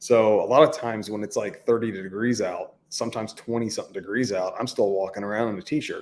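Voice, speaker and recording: A man speaks fairly quickly at a medium pitch, with ordinary pitch variation. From Texas and Kansas. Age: 30s. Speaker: YouTuber. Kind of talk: live stream chat. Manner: casual.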